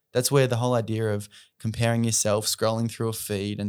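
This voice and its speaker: On a very clean recording with a silent background, a man with an Australian accent speaks at a fairly quick pace and a medium pitch. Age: 30s. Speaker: charity founder and mental health advocate. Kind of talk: podcast interview.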